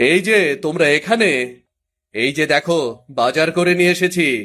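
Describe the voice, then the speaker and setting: In a put-on character voice, a man sounds gruff and fairly high in pitch. His intonation is lively, his loudness very even, and his pace fairly slow. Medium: cartoon. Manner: gruff, impatient.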